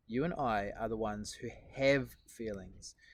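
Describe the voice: The speaker gives a plain reading aloud with ordinary pitch variation.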